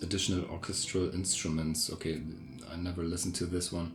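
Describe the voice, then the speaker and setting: Someone speaks with a non-native accent while music plays in the background. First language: not English. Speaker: music producer reviewing sample CDs. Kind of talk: casual video review. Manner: hesitant, many filler words.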